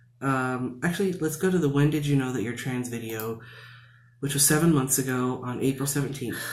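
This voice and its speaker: A man talks in an American accent at a fairly quick pace. His pitch varies in an ordinary way, with audible room echo. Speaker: video blogger. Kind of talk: casual vlog talk. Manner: many fillers and restarts.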